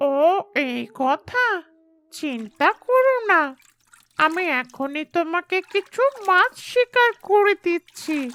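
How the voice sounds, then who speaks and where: A cartoonish character voice with an extremely high pitch speaks at a very slow pace. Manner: friendly, sensible.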